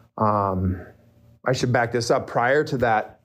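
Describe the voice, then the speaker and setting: A man speaks with an Upper Midwest accent at medium pitch. His intonation stays fairly even against a quiet background. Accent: Upper Midwest American. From northern Minnesota. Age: 40s. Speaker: recovering addict, real estate agent. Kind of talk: personal testimony. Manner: halting, many fillers.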